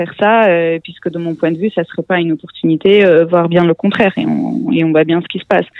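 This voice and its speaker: At a moderate pace, a woman talks in a fairly low voice with fairly even intonation. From Russia (born in Armenia). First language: Russian (speaking French). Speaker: tech education executive and author. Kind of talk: interview. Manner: halting, many hesitations.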